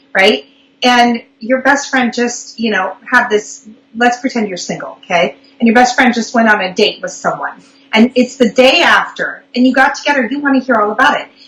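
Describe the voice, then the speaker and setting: A woman speaks at a moderate pace in a high pitch. Her pitch varies in an ordinary way, and there is noticeable background noise. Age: 40s. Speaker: public speaking coach. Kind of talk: live online interview.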